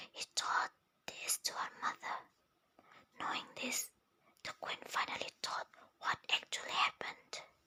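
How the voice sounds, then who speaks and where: Whispering at a fairly slow pace with long, frequent pauses, a woman is heard in dry, close sound with no echo. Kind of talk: whispered story reading. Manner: whispered, soft, slow.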